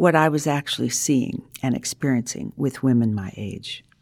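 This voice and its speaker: Her pitch swings very widely as a woman speaks at a moderate pace. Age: 70s. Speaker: author and therapist. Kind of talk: interview.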